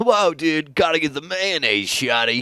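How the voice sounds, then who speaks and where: At a moderate pace, a man with a fairly high pitch talks in a put-on character voice. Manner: goofy, dude-like cartoon voice.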